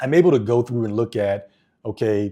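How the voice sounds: A dark, mellow tone comes through in a very clean recording with a silent background. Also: man.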